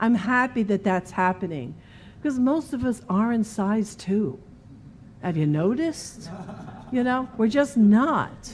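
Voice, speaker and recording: At a fairly slow pace with long, frequent pauses, a woman speaks in a somewhat breathy, fairly high voice with lively intonation. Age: 50s. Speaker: minister. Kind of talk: sermon. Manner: conversational.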